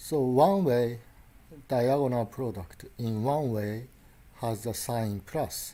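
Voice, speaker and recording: Speaking very slowly with a Japanese accent, a man has a dark, mellow tone, a medium pitch and ordinary pitch variation. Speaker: lecturer. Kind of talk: lecture. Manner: halting.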